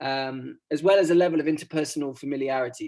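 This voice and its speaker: Someone with an English accent speaks at a fairly quick pace. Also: man. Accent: received pronunciation. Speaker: academic researcher presenting at a workshop. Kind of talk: conference presentation. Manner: hesitant, many fillers.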